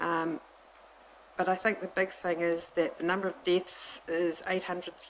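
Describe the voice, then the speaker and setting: A woman in a New Zealand accent with monotone, flat intonation. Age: 60s. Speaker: hospice representative making a submission. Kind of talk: public submission at council hearing. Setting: council committee meeting.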